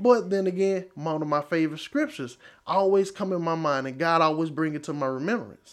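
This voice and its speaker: A man's voice sits fairly high. He speaks at a fairly quick pace. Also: ordinary pitch variation. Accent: East Texas. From East Texas, Marshall. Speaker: church member giving testimony. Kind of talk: testimony.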